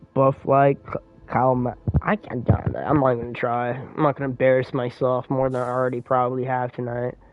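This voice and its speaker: Over music in the background, a man speaks at a moderate pace and a medium pitch. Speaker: video game streamer. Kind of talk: live gameplay stream chat. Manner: casual, animated.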